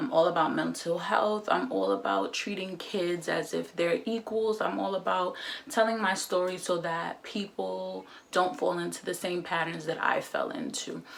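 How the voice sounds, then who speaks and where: A woman speaks at a moderate pace while noticeable background noise is heard. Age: 20s. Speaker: vlogger. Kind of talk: casual chat. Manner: casual, filler-heavy.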